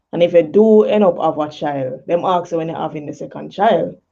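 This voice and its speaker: A woman's dark, mellow voice with a Jamaican accent and ordinary pitch variation. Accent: Jamaican, patois creeping in. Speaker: poet and talk show host. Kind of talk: casual talk show monologue. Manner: casual, many fillers.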